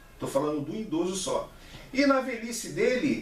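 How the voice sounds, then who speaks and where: A man's extremely high voice at a fairly slow pace, with audible room echo and noticeable background noise. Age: 60s. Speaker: vlogger. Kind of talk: opinion monologue. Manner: halting, with repeated syllables.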